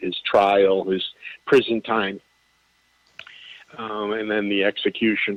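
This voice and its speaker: The pitch of this man's voice sits fairly low. He delivers his words fairly slowly. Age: 60s. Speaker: author. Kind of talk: casual chat. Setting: radio show.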